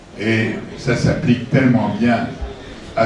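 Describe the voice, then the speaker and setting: There is noticeable background noise and audible room echo. A man speaks at a medium pitch with lively intonation. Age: 80s+. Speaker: author presenting his book. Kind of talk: book talk to an audience. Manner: halting.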